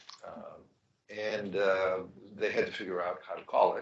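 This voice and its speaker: A man is heard with audible room echo. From Greece (Thessaloniki). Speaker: life sciences investor. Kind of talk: fireside chat.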